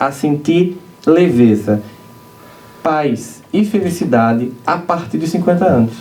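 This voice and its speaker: A man speaks with very wide pitch swings over noticeable background noise, with audible room echo. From Brazilian Northeast, Campina Grande. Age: 40s. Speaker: spiritist lecturer. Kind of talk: lecture. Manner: animated.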